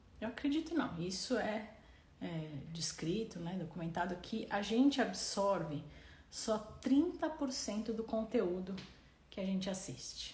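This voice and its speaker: With audible room echo, a woman speaks at a fairly high pitch. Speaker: doctor and parenting educator. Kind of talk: live stream Q&A. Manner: halting, repeats words.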